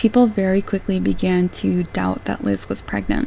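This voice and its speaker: The talking proceeds at a moderate pace while noticeable background noise continues beneath it. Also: woman. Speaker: true crime YouTuber. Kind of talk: scripted narration.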